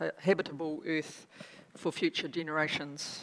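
Here is a woman with a New Zealand accent. Her pitch varies in an ordinary way. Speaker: government agency chief executive; conference presenter. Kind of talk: conference keynote speech. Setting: stage with audience. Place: hall. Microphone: podium.

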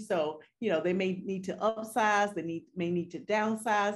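At a moderate pace, a woman delivers her lines. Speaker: guest. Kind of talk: interview answer. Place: home room. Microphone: video call.

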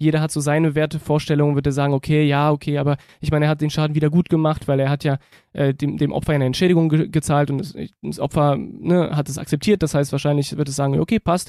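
On a very clean recording with a silent background and a dry, close sound with no echo, a man talks very fast in a fairly high pitch, his tone dark and mellow and his intonation flat and monotone. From Berlin (Reinickendorf). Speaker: football podcaster. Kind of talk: casual chat.

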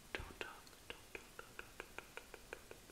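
A woman whispers at a fairly slow pace. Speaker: ASMR creator. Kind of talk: ASMR comforting personal attention role play. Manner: whispered; soft-spoken, soothing. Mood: soothing, tender. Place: home room. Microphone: phone near.

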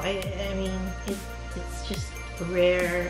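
Clear music plays in the background while a woman speaks at a fairly slow pace. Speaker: interviewee. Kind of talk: interview answer. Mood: thoughtful, calm. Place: home room.

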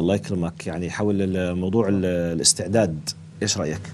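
Some light noise sits in the background. The man's speed is moderate. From Jordan. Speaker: religious youth-show host, preacher. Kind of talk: religious youth discussion. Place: studio. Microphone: lapel.

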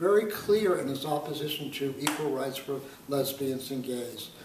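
Noticeable background noise fills the clip. A man talks through it. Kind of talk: interview answer. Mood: earnest, engaged. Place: home room. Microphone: camera far.

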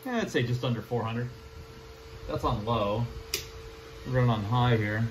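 With audible room echo around him, a man speaks with ordinary pitch variation. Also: medium pitch for a man, moderate pace.

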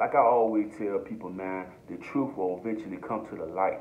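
Light background noise sits behind a man's voice. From Norfolk, Virginia; Virginia. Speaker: YouTuber, commentator. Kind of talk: casual vlog commentary. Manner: animated. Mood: earnest, passionate. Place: home room. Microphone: phone near.

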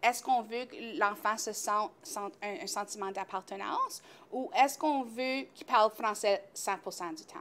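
A woman's fairly high-pitched voice with lively intonation. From Northern Ontario, Greater Sudbury area. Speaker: early childhood educator. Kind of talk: casual interview. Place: studio. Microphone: lapel.

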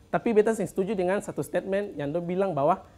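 Talking at a very fast pace, a man with a high pitch speaks in an Ambonese accent. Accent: Ambonese Malay. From Ambon, Maluku; Maluku, Indonesia. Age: 20s. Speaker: stand-up comedian and church worker; stand-up comedian. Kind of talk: stand-up comedy set in Ambonese Malay, storytelling about church-kid student life. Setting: stage with live studio audience. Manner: punchline-driven, playfully self-mocking with local slang. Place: studio. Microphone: handheld.

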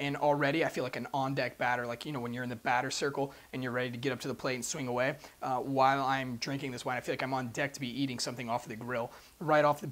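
Talking at a very fast pace, a man keeps a monotone, flat intonation. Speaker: presenter. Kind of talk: wine review chat. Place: shop. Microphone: lapel.

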